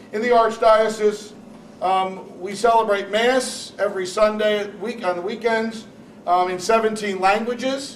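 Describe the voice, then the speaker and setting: Someone with an American accent speaks at a moderate pace in a monotone, flat way. Noticeable background noise runs underneath. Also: man, high pitch for a man. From New Jersey, Newark. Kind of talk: panel talk.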